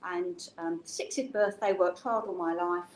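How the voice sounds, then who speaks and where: The speaker is a woman. She talks in an English accent. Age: 70s. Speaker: business founder and CEO. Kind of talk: personal story in an interview. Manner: conversational, with many fillers.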